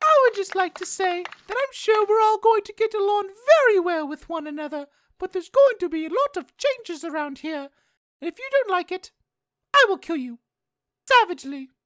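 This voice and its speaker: An extremely high-pitched woman's voice with very wide pitch swings and big swings in loudness, dry and close with no echo. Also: moderate pace. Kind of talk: comic overacting. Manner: prim, menacing, shrill when angered.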